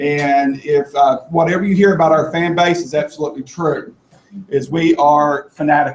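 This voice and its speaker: At a moderate pace, a man talks in a strong Kentucky accent. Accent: thick Kentucky. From Kentucky, US South (Appalachian eastern Kentucky). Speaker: assistive technology presenter. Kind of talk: presentation to a live audience.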